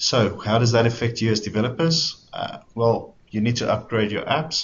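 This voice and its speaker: With a South African accent, a man speaks at a moderate pace and a fairly low pitch, his voice somewhat breathy and his intonation lively. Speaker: software developer evangelist. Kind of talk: webinar presentation.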